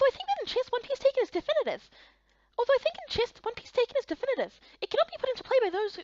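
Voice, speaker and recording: A woman puts on a squeaky character voice at an extremely high pitch, talking at a very fast pace. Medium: fan dub. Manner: earnest, thoughtful.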